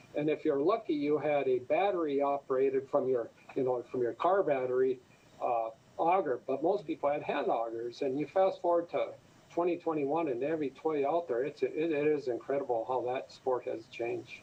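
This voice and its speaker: With an Upper Midwest accent, a man talks at a fairly quick pace in a fairly high pitch with ordinary pitch variation. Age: 60s. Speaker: fisheries official. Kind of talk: radio interview.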